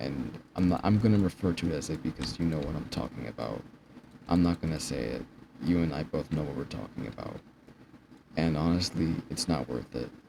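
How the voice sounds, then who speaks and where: With vocal fry and a very deep, low pitch, a man talks at a fairly quick pace with ordinary pitch variation. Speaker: vlogger. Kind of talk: personal vlog monologue. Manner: stuttering, halting. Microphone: poor quality.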